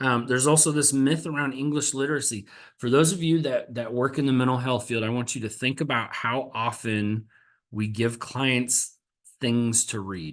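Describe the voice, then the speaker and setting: Here a man speaks at a medium pitch and a moderate pace. His pitch variation is ordinary. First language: American Sign Language. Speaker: mental health counselor and presenter. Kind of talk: webinar presentation. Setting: webinar.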